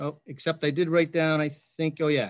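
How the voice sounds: A man with a fairly high pitch talks at a moderate pace, with little pitch movement.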